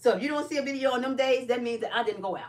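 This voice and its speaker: A woman with an American accent talks at a very fast pace, with ordinary pitch variation. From Chicago, US Midwest. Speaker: live streamer and caregiver. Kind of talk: casual live stream chat.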